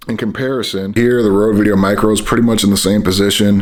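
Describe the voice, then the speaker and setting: Amid noticeable background noise and audible room echo, a man with fairly low pitch talks very fast in a monotone, flat intonation. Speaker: filmmaker and gear reviewer. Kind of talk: product review. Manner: mumbles sometimes; casual, conversational.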